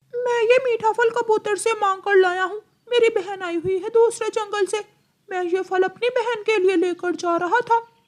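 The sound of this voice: This is a cartoonish character voice. Its pitch is extremely high. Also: moderate pace.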